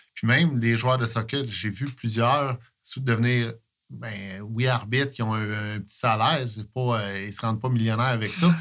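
At a moderate pace and with fairly even intonation, a plain, everyday voice comes through in a very clean recording with a silent background. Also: man, medium pitch for a man. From Quebec, Eastern Townships. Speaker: sports coach, volunteer. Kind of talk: casual interview chat.

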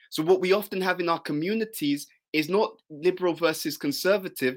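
The recording is very clean, with a silent background. A man with a high pitch and ordinary pitch variation speaks at a fairly quick pace. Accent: British. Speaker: spiritual teacher. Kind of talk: interview. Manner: intense.

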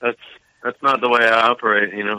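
His intonation stays monotone and flat. The speaker is male. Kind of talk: casual banter.

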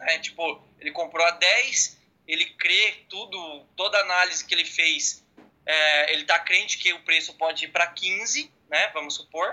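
The speaker is a man with a high voice. He goes at a fairly slow pace. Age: 20s. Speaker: agricultural pilot and day trader. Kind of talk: casual interview.

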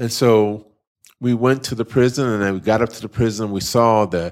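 A normal speaking voice with an American accent and fairly even intonation. The recording is very clean, with a silent background. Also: man. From California. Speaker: nonprofit director, former college basketball player. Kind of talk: interview. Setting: classroom.

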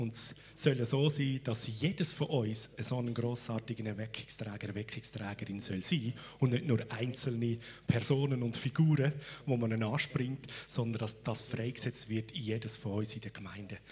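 A man talks at a moderate pace and a medium pitch. His voice is somewhat breathy, with ordinary pitch variation. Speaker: church host introducing guest speaker. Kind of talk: welcome introduction. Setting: church.

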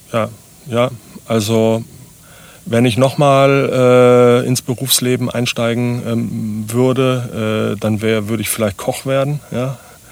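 Speaking at a very slow pace, a man keeps his intonation monotone and flat. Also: medium pitch for a man. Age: 50s. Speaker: startup founder. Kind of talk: interview conversation. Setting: on-site at guest's place, recorded in a vehicle.

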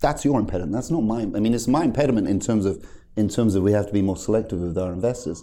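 A man with a British accent at a very fast pace, fairly low pitch, dark, mellow tone, ordinary pitch variation and very even loudness. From UK. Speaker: cannabis brand founder. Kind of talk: interview.

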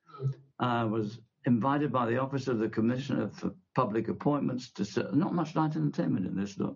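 Talking very fast with lively intonation, a man at a medium pitch shows vocal fry. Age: 90s. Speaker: retired television executive. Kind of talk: interview. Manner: halting.

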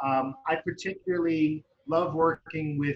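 This man has a fairly high voice and an American accent. He talks at a very slow pace. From United States. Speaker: parent coach and social worker. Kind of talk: interview.

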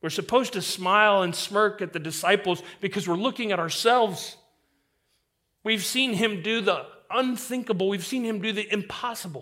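A raised, projected voice with a bright, sharp tone at a moderate pace. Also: man, high pitch for a man, ordinary pitch variation. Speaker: preacher. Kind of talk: sermon. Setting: church.

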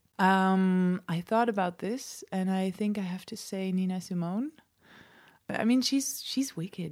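A woman with a Dutch accent, medium pitch and ordinary pitch variation, on a very clean recording with a silent background. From Netherlands. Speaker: musician. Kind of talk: interview. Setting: home studio.

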